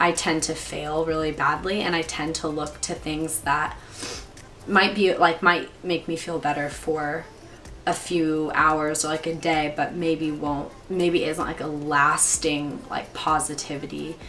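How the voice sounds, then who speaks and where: A woman's very deep, low voice, flat and monotone at a fairly slow pace, with noticeable background noise and audible room echo. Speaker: YouTuber. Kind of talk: casual chat. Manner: casual, many fillers.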